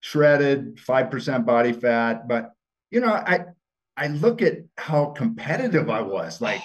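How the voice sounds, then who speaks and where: With an American accent, a man talks at a fairly slow pace with fairly high pitch and very wide pitch swings. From Montana. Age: 60s. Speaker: former TV gladiator and football player. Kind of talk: podcast interview. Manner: casual, halting with repetitions.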